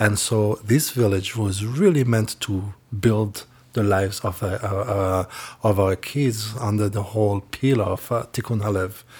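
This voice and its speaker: Somewhat breathy and fairly low-pitched, a man with a Rwandan accent speaks at a fairly slow pace with fairly even intonation in a very clean recording with a silent background. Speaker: youth village leader.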